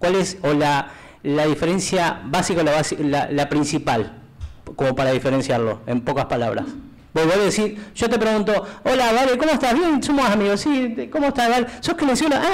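A man talks at a high pitch and a moderate pace. His pitch swings very widely. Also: very even loudness. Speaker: TV interviewer host. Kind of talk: casual interview. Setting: studio. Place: studio.

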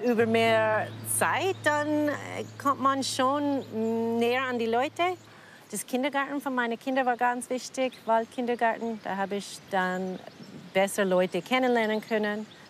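Speech comes at a fairly slow pace with ordinary pitch variation, in a dry sound with no echo and light background noise. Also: woman, fairly high pitch for a woman. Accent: American. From American (Colorado), lives in Cham, Germany. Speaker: puppeteer. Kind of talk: interview answer. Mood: reflective, warm. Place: waterside. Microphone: lapel.

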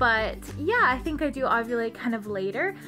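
Clear music in the background accompanies a woman speaking at a fairly slow pace. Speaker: vlogger. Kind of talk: casual vlog chat. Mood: cheerful, upbeat. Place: home room. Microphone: phone near.

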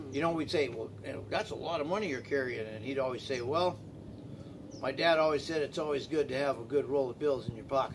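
Over noticeable background noise, a man with an American accent speaks at a very fast pace with ordinary pitch variation. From Tucson, Arizona; Arizona. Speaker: community drum group organizer; interviewee. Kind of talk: casual interview. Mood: warm, encouraging. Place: garden. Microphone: camera far.

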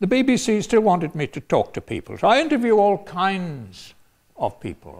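Speaking at a moderate pace, a man talks with an English accent. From England, London. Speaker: retired professor and former priest. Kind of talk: personal storytelling talk. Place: hall.

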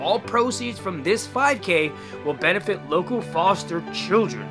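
A man is talking while clear music plays behind him. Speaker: vlogger promoting a charity run. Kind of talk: casual vlog chat. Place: home room. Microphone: phone near.

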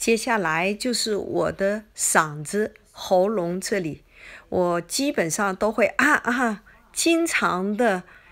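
A woman at a very slow pace with lively intonation. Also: medium pitch for a woman. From China. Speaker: cooking video creator. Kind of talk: personal vlog monologue. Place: home room.

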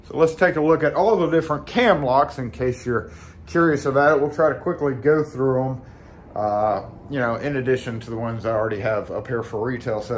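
With light background noise behind him, a man speaks at a fairly quick pace with ordinary pitch variation. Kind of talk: casual vlog chat. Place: shop. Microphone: phone near.

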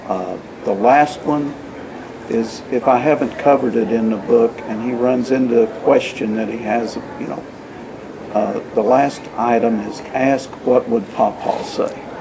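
A man's voice over noticeable background noise, with fairly even intonation at a fairly slow pace. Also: medium pitch for a man. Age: 60s. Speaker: accountant, first-time author. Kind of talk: interview answer. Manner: hesitant, frequent fillers. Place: meeting room. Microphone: camera far.

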